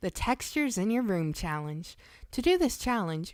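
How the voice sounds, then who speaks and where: In a very clean recording with a silent background, a woman speaks at a moderate pace with a fairly high pitch and very wide pitch swings. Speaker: online video creator. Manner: stiff, prim schoolteacher-like delivery when reading a script.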